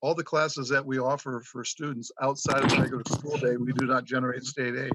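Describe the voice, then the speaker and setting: This man's voice sits fairly high and has a bright, sharp tone. He speaks at a fairly quick pace. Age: 60s. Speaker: school superintendent. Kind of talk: legislative testimony. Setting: remote video hearing.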